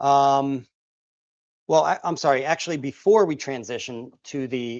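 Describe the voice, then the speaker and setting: Recorded with a dry, close sound with no echo and a quiet background, a man with an American accent talks at a fairly high pitch with ordinary pitch variation. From Pennsylvania, US. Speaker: guitar maker and teacher. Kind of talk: live stream tutorial. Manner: casual, halting with many fillers.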